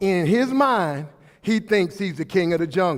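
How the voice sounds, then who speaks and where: Loud and animated, an American man talks at a moderate pace with very wide pitch swings. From Brooklyn, New York. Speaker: motivational speaker. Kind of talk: motivational speech. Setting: hall with audience, microphone.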